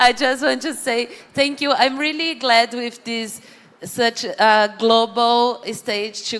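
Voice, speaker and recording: Talking at a fairly slow pace, a woman speaks in a Brazilian accent. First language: Portuguese. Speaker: panel moderator. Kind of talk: closing remarks. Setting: stage with audience.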